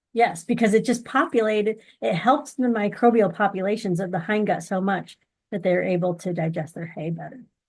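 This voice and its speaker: Somewhat breathy, the voice has an American accent. It moves at a fairly quick pace with ordinary pitch variation. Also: woman, medium pitch for a woman. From US, grew up on a dairy farm. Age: 40s. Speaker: horse feed company representative and amateur barrel racer. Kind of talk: interview.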